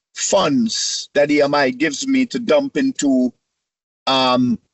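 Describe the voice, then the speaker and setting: A man is talking. The swings in his pitch are very wide. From Caribbean (St Kitts). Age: 60s. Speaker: music industry executive. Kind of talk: interview. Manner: halting, repeats words.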